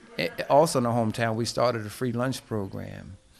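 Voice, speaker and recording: A man's intonation stays fairly even while noticeable background noise carries on behind him. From New Jersey, US (Plainfield). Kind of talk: interview. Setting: at his home.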